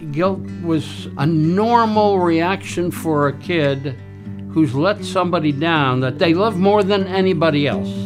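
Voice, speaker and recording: A man with fairly high pitch and very wide pitch swings, music in the background. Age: 80s+. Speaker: retired hunter. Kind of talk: interview answer. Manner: reflective storytelling.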